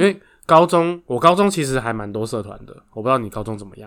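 Bright and sharp in tone, a man speaks at a moderate pace and medium pitch with lively intonation on a very clean recording with a silent background. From Taiwan, Taoyuan. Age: 30s. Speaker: podcast co-host, runs family factory. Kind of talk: casual chat.

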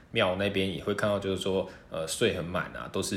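There is audible room echo as a man talks at a fairly quick pace. His pitch is very deep and low, with fairly even intonation. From Taiwan, half Hokkien half mainlander family. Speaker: university student. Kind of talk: casual interview.

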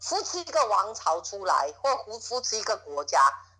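Over noticeable background noise, the talking moves at a moderate pace. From Taiwan, Miaoli. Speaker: interviewee claiming secret-society heir. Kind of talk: phone interview. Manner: halting, repetitive.

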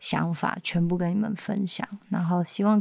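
Somewhat breathy and at a moderate pace, the voice keeps a fairly even intonation in a dry, close sound with no echo. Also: woman. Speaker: singer-songwriter and backing vocalist. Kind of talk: interview.

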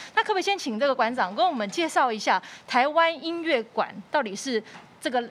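A woman speaks fairly quickly, her pitch swinging very widely, as noticeable noise runs underneath. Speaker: podcast host, music teacher. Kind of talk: interview. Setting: studio.

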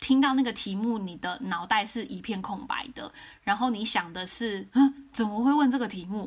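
Somewhat breathy and fairly high in pitch, a woman speaks at a moderate pace. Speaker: career consultant podcast host. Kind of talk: casual interview chat. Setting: remote recording.

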